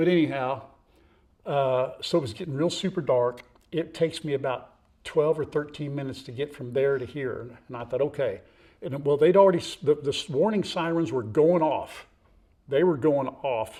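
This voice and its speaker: Somewhat breathy and dark, mellow in tone, this man's voice sits fairly high in pitch, with ordinary pitch variation and a moderate pace. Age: 60s. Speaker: farm vlogger. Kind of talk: casual chat. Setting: outdoors. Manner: animated.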